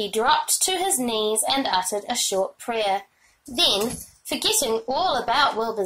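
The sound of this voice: An unforced reading voice delivers the lines with lively intonation.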